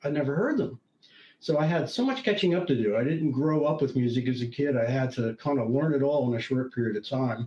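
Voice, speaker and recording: Here a man speaks at a fairly quick pace with lively intonation and a fairly high pitch. His tone is dark and mellow, and somewhat breathy. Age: 70s. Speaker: retired IT consultant and professor, tech writer. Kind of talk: interview conversation. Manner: halting, with many restarts.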